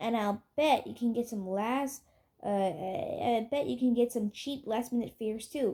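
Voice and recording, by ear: Reading aloud in a natural voice, the speaker lets the pitch vary in an ordinary way.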